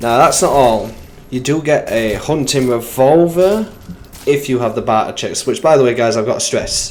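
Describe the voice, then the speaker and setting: With an English accent, a man talks at a moderate pace in a fairly high pitch and lively intonation. Audible room echo and noticeable background noise surround him. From England. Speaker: gaming youtuber. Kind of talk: video game commentary. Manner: casual and animated.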